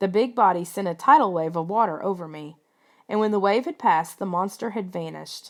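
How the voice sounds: A natural reading voice marked by ordinary pitch variation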